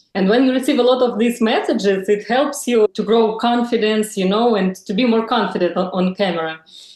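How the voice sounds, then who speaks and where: Here a woman speaks in a fairly high pitch. Her pace is moderate and her pitch variation ordinary. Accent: Russian. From Russia. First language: Russian. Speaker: lifestyle influencer. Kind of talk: interview. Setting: video call. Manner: halting.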